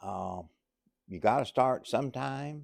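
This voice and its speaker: A man speaks at a fairly slow pace, his pitch swinging very widely, against a quiet background. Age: 80s+. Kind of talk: political and religious commentary monologue. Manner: halting with fillers.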